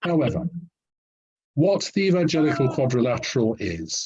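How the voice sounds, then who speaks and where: Speaking at a fairly slow pace with a British accent, a man uses lively intonation in a dark, mellow, somewhat breathy tone, with a dry, close sound and no echo. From Britain. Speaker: historian. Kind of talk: interview answer, explanatory. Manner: measured, formal.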